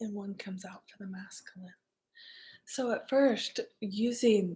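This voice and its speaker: In a very clean recording with a silent background, a woman speaks in a somewhat breathy voice. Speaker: artist and card reader. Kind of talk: ASMR-style spiritual card reading. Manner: calm, soft-spoken.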